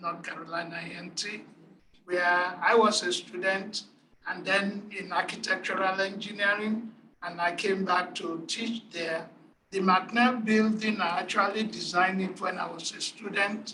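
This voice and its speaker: The speaker has a Nigerian accent and a fairly slow pace. Noticeable background noise runs underneath. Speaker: engineering professor. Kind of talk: panel presentation.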